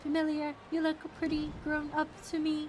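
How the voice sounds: Someone does a put-on character voice at a high pitch and a moderate pace, with clear background noise behind it.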